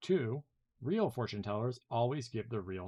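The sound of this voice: An unforced reading voice comes through over a quiet background.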